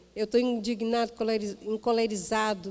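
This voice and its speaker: A woman speaks at a fairly slow pace. Her voice has a dark, mellow tone and a fairly high pitch. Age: 60s. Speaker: missionary preacher. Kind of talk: sermon; personal anecdote in sermon.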